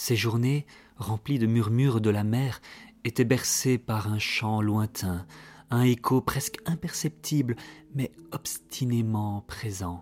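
The tone is solemn and the pace very slow, captured in a very clean recording with a silent background. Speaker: storyteller narrating a fairy tale. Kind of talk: dramatic scripted narration of a tale, solemn and literary. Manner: slow, solemn, melancholic storytelling tone.

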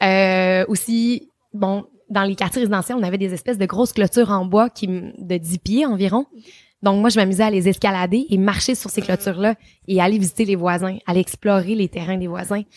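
A woman with a Quebec accent, medium pitch and fairly even intonation, in a dry, close sound with no echo on a very clean recording with a silent background. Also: moderate pace. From Quebec, Trois-Rivières. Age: 30s. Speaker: travel influencer and TV host. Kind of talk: interview.

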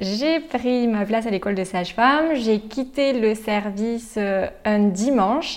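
A woman's fairly high voice at a very slow pace over noticeable background noise. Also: ordinary pitch variation. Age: 20s. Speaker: nurse. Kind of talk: testimony.

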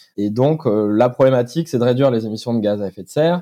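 A man talks at a very fast pace in a medium pitch with a dark, mellow tone. The sound is dry and close with no echo, over a quiet background. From France, Corrèze (Brive-la-Gaillarde). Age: 30s. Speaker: startup founder. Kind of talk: interview. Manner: hesitant, many fillers.

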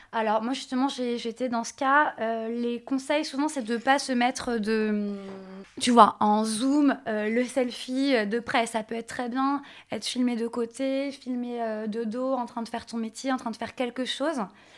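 Pitched high, a woman speaks fairly slowly in a monotone, flat delivery. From France, Nantes. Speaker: image coach. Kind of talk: interview.

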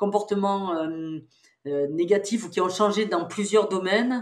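A woman with a fairly low pitch uses an unremarkable speaking voice at a moderate pace. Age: 60s. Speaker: psychologist and researcher. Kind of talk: interview.

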